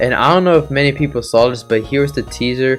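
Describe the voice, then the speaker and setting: With ordinary pitch variation, a man moves at a fairly quick pace as music plays behind him. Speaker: game developer. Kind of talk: casual narration of a development timeline.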